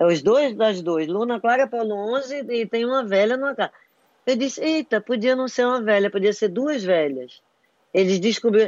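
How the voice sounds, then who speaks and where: With lively intonation and a fairly high pitch, a woman speaks at a moderate pace in an unremarkable speaking voice. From Brazil, Recife (raised from 11 to 30, born in Rio). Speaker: writer and screenwriter. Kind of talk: casual interview chat.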